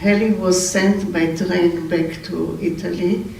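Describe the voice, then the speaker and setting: Speaking very slowly with an Israeli accent, the voice comes through noticeable background noise. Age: 80s+. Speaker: family member giving eulogy. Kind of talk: memorial speech. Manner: halting, with self-corrections.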